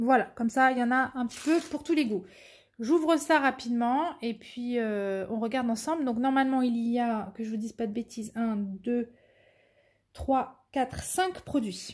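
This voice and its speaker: On a very clean recording with a silent background, the speaker goes at a fairly slow pace with ordinary pitch variation. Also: woman, high pitch for a woman. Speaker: diamond painting content creator. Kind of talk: unboxing video, casual chat. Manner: stammering, hesitant.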